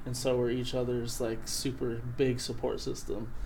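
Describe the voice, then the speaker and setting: With an American accent, a man speaks in a monotone, flat intonation at a medium pitch, his dark, mellow tone carrying audible room echo. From Montana, Flathead Indian Reservation. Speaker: rapper. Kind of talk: casual chat.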